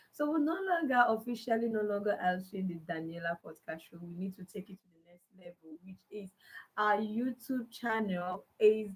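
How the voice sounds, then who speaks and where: A woman with a fairly high pitch and a somewhat breathy voice. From Nigeria (Igbo). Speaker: podcast host. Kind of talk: live stream talk. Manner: halting.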